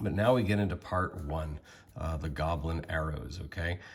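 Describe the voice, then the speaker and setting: At a moderate pace, a man talks with ordinary pitch variation and a somewhat breathy quality. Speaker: tabletop RPG game master. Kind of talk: tutorial talk to camera.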